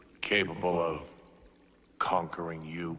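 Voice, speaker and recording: A man puts on a character voice at a very deep, low pitch and a fairly slow pace. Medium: short film. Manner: solemn, probing.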